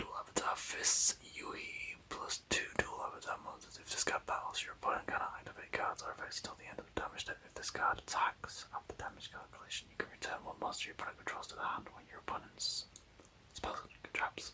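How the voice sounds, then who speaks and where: A man whispers at a fairly quick pace, his loudness swinging widely. Noticeable background noise runs underneath. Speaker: ASMR card collector. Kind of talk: ASMR card binder review. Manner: whispered.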